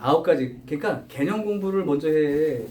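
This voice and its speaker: A man's voice, with ordinary pitch variation, carries audible room echo. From Chungcheong, South Korea. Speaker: math tutor. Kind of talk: lecture.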